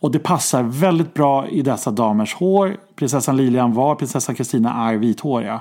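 A man's medium-pitched, dark, mellow voice at a moderate pace, very even in loudness, with ordinary pitch variation and hardly any pauses. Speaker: podcast host, royalty commentator. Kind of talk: casual chat.

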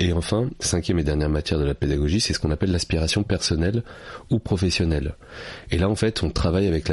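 A very deep, low-voiced man, somewhat breathy, at a very fast pace with very even loudness. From France, Paris suburbs. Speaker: public speaking coach and author. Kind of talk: interview.

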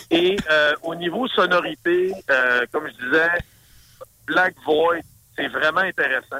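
A man's high-pitched voice in a Saguenay accent, at a very slow pace with long, frequent pauses and ordinary pitch variation. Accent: Saguenay Québécois French. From Saguenay, Quebec. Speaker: metal musician and promoter. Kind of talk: casual interview.

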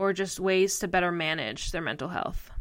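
A woman's bright, sharp tone comes through in a very clean recording with a silent background. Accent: American. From US Northeast, northeastern Pennsylvania. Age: 20s. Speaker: podcast co-host, mental health advocate. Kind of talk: personal storytelling monologue.

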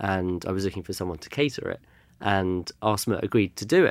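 The speaker has a London accent and a fairly quick pace with fairly even intonation. The recording is very clean with a silent background. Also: man. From London, England. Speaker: culture consultant. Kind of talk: interview conversation.

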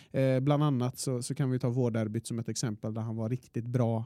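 Nothing echoes, leaving the sound dry and close. A dark, mellow tone comes through. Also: man. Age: 20s. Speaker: football podcast co-host. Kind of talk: casual chat. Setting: studio.

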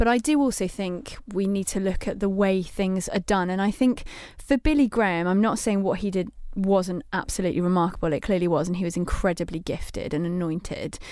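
A woman with a Mancunian accent talks at a fairly quick pace and medium pitch in a dark, mellow tone with ordinary pitch variation, captured in a very clean recording with a silent background. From Manchester, England. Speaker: magazine editor, co-host. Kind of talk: casual chat. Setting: studio.

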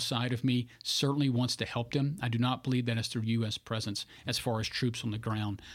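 Speaking at a fairly quick pace in a Louisiana accent, the voice keeps fairly even intonation on a very clean recording with a silent background. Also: man. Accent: Louisiana Southern American. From Louisiana (Bunkie, central Louisiana). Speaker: political candidate, former navy pilot. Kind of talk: interview.

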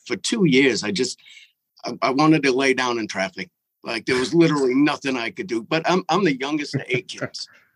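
In an ordinary speaking voice, a man with an American accent talks at a fairly quick pace and a fairly high pitch with lively intonation. The sound is dry and close with no echo. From Massachusetts.

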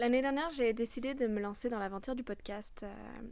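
Speaking in a fairly high pitch, a woman's voice rings with audible room echo. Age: 20s. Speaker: podcast host and coach. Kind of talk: unscripted solo monologue. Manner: hesitant, many fillers.

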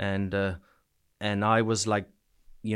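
A fairly low-pitched man with a Canadian East Coast accent. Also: very clean recording, silent background. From New Brunswick, Canada. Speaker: soldier back from Ukraine. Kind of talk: casual interview, telling war stories. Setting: studio, in-person interview in Bournemouth.

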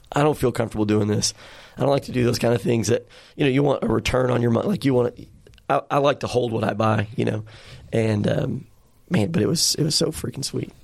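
Very fast speech from a man with an American accent, medium pitch, vocal fry and ordinary pitch variation. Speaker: podcast host. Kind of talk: casual chat. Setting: studio. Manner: animated.

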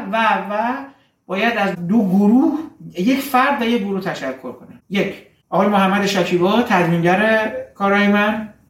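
A high-pitched man speaks at a moderate pace with ordinary pitch variation. His loudness swings widely, and the room echo is audible. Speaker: dentist and film podcaster. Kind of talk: personal narrative.

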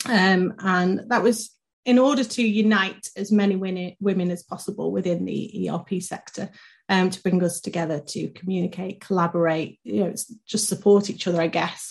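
Somewhat breathy, a woman speaks at medium pitch and a moderate pace with fairly even intonation. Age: 30s. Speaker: podcast co-host, marketing director. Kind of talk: casual chat.

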